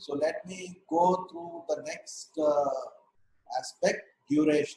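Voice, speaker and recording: Ordinary pitch variation marks a man's speech. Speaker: ENT doctor teaching medical students. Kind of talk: lecture. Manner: slow, deliberate.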